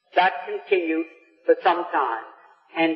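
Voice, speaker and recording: A man with lively intonation speaks fairly slowly, noticeable background noise behind him. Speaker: businessman. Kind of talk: public speech to a live audience. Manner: extemporaneous.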